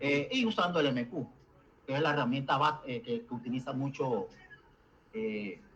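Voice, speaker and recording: Pausing long and often, a man speaks at a fairly high pitch with very wide pitch swings. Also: moderate pace. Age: 70s. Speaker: programmer. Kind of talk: online meeting discussion. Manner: halting.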